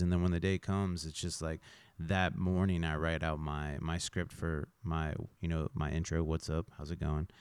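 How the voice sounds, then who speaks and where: A man speaks with a very deep, low pitch and fairly even intonation. The sound is dry and close with no echo, on a very clean recording with a silent background. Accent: American. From Kansas. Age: 30s. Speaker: podcast host. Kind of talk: casual interview. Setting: in-person recording in a building above a venue.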